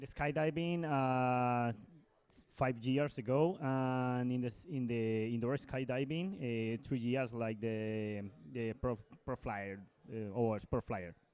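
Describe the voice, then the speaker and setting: In a Colombian accent, the speaker talks at a very slow pace with ordinary pitch variation. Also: man, medium pitch for a man. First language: Spanish. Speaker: indoor skydiving athlete. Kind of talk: interview. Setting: interview studio at indoor skydiving competition. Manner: halting.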